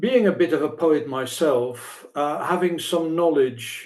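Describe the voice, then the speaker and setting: Speaking with a Dutch accent, a man talks at a fairly slow pace with a fairly high pitch. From Netherlands. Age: old. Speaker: poet and translator. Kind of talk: interview. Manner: halting, many fillers and repetitions.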